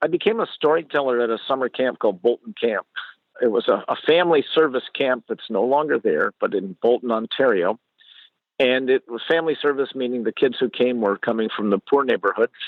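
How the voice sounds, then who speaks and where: With a Canadian accent, a man in an unremarkable speaking voice talks at medium pitch and a fairly quick pace with ordinary pitch variation. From Canada. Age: 60s. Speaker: storyteller. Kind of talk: interview.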